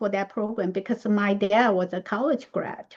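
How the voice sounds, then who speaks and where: This is a woman speaking. She has a Chinese accent. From Taiwan. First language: Mandarin Chinese. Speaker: speaker. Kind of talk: discussion.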